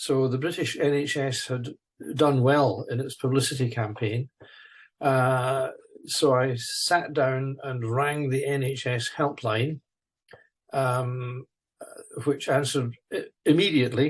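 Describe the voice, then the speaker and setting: A man speaks at a very slow pace with long, frequent pauses and fairly even intonation. His medium-pitched voice is somewhat breathy. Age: 70s. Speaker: retired naval architect and stroke survivor. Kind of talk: interview. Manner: halting, many fillers and repetitions.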